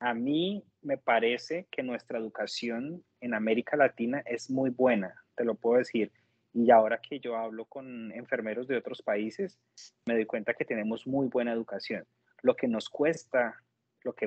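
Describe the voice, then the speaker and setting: Speaking at a fairly slow pace, a man talks with a Colombian accent. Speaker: nurse. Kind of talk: interview testimony. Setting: video call.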